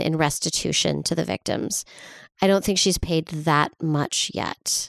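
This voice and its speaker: In a very clean recording with a silent background, a woman with a normal speaking voice and fairly low pitch talks at a moderate pace with fairly even intonation. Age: 40s. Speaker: podcast co-host. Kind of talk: casual comedic chat and storytelling. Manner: frequent laughter, lots of fillers.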